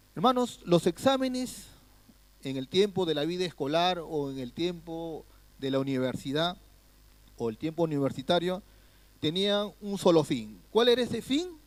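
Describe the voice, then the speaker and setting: A man with a high voice talks at a fairly slow pace, his pitch swinging very widely and his speech broken by long, frequent pauses. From Peru. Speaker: guest pastor. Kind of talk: sermon. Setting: church.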